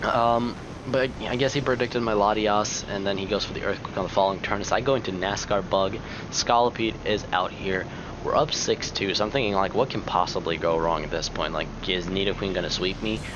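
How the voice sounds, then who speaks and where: This man's voice sits fairly low, with ordinary pitch variation and a fairly quick pace. Noticeable background noise and audible room echo are present. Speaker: gaming youtuber. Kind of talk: gameplay commentary.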